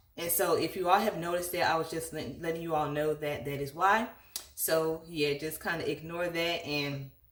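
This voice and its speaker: A woman's fairly low voice with fairly even intonation at a moderate pace, plus noticeable background noise. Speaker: lifestyle vlogger. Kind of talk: casual chat. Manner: relaxed, conversational.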